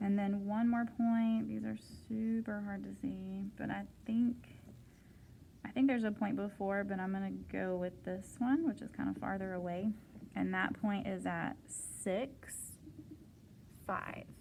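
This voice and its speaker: The pace is fairly slow, broken by long, frequent pauses. Light background noise can be heard. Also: woman. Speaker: math teacher. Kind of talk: homework help tutorial. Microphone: phone near.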